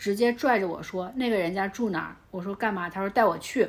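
The pace here is fairly quick. It is an unremarkable speaking voice with ordinary pitch variation. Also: woman. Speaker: guest, friend of host. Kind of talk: casual chat.

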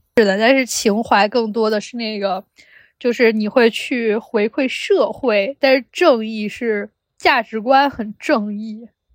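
A woman at a very slow pace, dry and close with no echo, on a very clean recording with a silent background. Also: fairly high pitch for a woman, ordinary pitch variation. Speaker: podcast co-host, graduate student researcher. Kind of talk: casual chat. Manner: animated.

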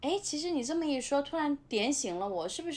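A woman at a fairly quick pace, her pitch swinging very widely. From Nanjing suburbs, China. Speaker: former restaurant industry worker. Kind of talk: casual chat.

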